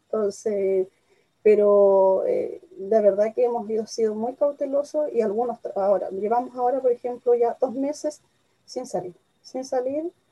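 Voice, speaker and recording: This woman has a high pitch and ordinary pitch variation. She talks at a fairly slow pace. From Chile. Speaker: tourism media entrepreneur. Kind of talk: interview.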